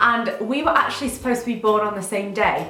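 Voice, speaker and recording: A woman's fairly high, animated voice at a very fast pace, with audible room echo and noticeable background noise. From northern England, Sheffield. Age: 20s. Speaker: beauty and lifestyle vlogger. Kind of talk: casual chat to camera. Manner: chatty, animated.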